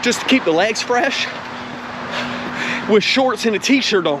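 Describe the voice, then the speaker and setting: With noticeable background noise behind him, a man speaks at an extremely high pitch. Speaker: triathlete vlogger. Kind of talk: vlog monologue while running. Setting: outdoors, running on trail. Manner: soft-spoken.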